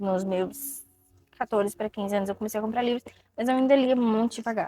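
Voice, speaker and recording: With ordinary pitch variation, this woman's voice carries a dark, mellow tone. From Ceará, Brazil. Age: 20s. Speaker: book content creator. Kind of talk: casual talk to camera.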